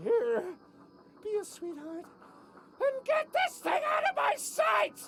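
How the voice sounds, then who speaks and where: A put-on character voice with a theatrical tone speaks at an extremely high pitch and a fairly slow pace. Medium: video game. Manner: theatrical, melodramatic.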